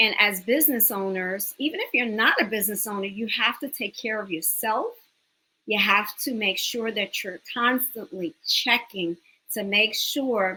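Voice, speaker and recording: A woman speaks with a slight New York accent. Her pitch is fairly high and her pace fairly slow. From New York City, the Bronx. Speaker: business owner and educator. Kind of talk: interview.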